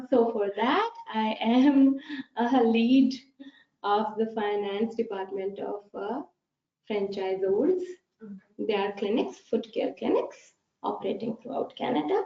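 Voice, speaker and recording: A woman with a Pakistani accent speaks at a fairly slow pace, with long, frequent pauses. Her fairly high voice carries lively intonation. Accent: Pakistani English, non-native. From Pakistan, Peshawar. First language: Pashto. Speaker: accountant. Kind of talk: webinar presentation. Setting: online webinar.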